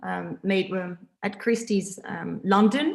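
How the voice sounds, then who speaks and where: A woman of medium pitch with a French accent. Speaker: interviewer. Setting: art exhibition. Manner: hesitant, many fillers.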